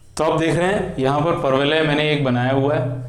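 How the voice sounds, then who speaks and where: A man with a fairly high voice and ordinary rise and fall in pitch. There's noticeable background noise and audible echo from the room. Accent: non-native. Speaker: maths teacher. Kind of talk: tutorial.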